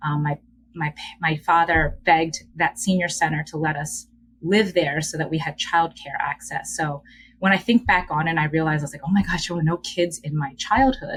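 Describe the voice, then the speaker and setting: The speaker has a Korean accent and ordinary pitch variation. The pace is moderate. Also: woman, fairly low pitch for a woman. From Philadelphia, US (Upper Darby area). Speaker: educator and DEI leader, podcast guest. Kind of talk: casual interview, personal storytelling.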